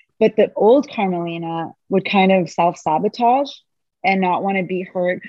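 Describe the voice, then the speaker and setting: A woman's normal speaking voice at a medium pitch and moderate pace, with ordinary pitch variation, a dry, close sound with no echo, and a quiet background. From Canada. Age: 40s. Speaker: medical tattoo specialist, cancer survivor. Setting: video call.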